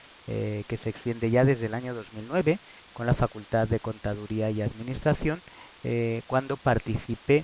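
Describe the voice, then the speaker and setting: The speaker is a man with a medium pitch. He moves at a moderate rate, his pitch shifting in a normal way. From Spain, Madrid. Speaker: professor. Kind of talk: lecture. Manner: halting, many filler sounds.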